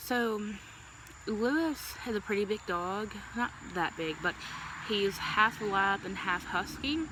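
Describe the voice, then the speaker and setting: Over noticeable background noise, a woman with a medium-pitched voice talks at a very slow pace with long, frequent pauses. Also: ordinary pitch variation. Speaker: vlogger. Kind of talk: casual storytime vlog. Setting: outdoors.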